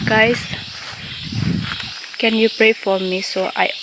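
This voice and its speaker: A Malaysian accent over noticeable background noise. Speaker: vlogger, rubber farmer. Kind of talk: casual vlog. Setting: outdoors. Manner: halting.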